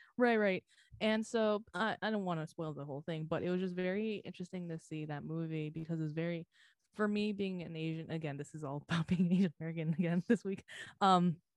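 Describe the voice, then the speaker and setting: An unremarkable speaking voice from a woman, fairly low-pitched and fairly quick, with ordinary pitch variation and a dry, close sound with no echo. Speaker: podcast co-host. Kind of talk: casual chat.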